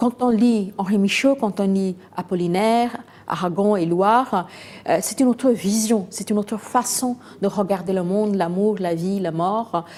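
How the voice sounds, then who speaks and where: With a Bengali accent, a woman speaks very slowly in a dark, mellow tone at medium pitch with ordinary pitch variation. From India, Calcutta. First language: Bengali (speaking French). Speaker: novelist. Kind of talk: interview. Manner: hesitant, many fillers.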